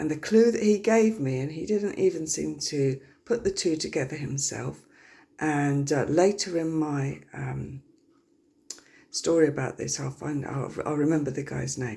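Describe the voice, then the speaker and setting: A woman's very deep, low voice with vocal fry and a dark, mellow tone, fairly slow, in a very clean recording over a silent background. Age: 50s. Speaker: health vlogger. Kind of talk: casual personal talk to camera. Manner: hesitant, many fillers.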